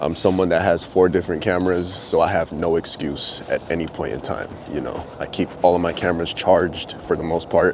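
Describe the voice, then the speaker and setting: Against noticeable background noise, a man with a very deep, low pitch speaks at a fairly quick pace with hardly any pauses and fairly even intonation. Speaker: vlogger. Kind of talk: casual vlog monologue. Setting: outdoors walking dogs. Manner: soft-spoken.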